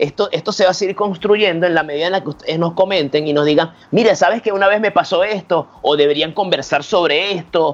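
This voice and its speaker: A man talks at a fairly quick pace with hardly any pauses. His pitch is high, with ordinary variation. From Venezuela. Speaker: magician and stand-up comedian. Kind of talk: casual chat.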